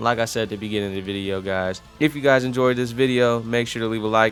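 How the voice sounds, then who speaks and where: A man speaks at a very fast pace. Music plays in the background. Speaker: gaming YouTuber. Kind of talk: casual video commentary. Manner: animated.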